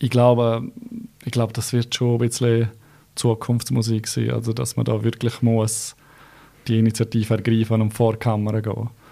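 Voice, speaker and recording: With a Graubünden accent, a man of medium pitch speaks at a moderate pace in a dark, mellow tone, his intonation monotone and flat, with long, frequent pauses on a very clean recording with a silent background. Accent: Bündner Swiss German. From Switzerland, Graubünden. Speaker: real estate agent. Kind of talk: interview. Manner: hesitant, many fillers.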